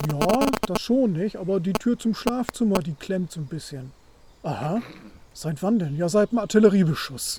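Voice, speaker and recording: His intonation is lively and his pitch high. The man keeps a moderate pace. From northern Germany, Wilhelmshaven. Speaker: supporter of the channel. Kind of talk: casual chat. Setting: outdoors in a forest.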